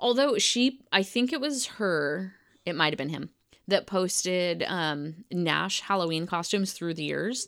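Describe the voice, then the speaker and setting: Using lively intonation, a woman with an unremarkable speaking voice and medium pitch talks at a fairly slow pace. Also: very clean recording, silent background. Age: 30s. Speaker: podcast co-host. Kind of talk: casual chat.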